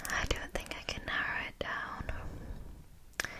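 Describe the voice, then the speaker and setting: Someone is whispering at a very slow pace. Noticeable background noise can be heard. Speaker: ASMR artist. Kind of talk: ASMR Q&A, soft-spoken talk to camera. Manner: soft-spoken, whispery.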